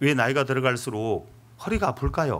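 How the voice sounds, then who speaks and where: A man talks at a moderate pace with vocal fry and a medium pitch. His intonation is lively. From Seoul, South Korea. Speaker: pastor. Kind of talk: sermon.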